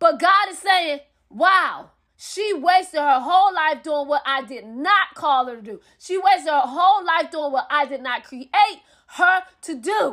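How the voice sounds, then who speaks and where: A woman with an extremely high pitch uses a raised, projected voice at a fairly slow pace, her loudness swinging widely. Her intonation is lively and her tone bright, sharp and animated. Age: 30s. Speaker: preacher. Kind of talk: sermon.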